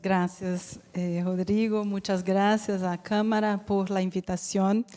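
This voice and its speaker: A woman with a medium pitch and a dark, mellow tone talks very slowly in a monotone, flat intonation, her loudness swinging widely. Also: hardly any pauses. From Brazil. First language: Portuguese (speaking Spanish). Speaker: insurance company executive. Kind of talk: business presentation.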